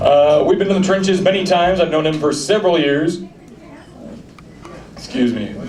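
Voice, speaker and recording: Over noticeable background noise, a man's speech moves at a fairly quick pace. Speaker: show host. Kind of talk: live stage introduction.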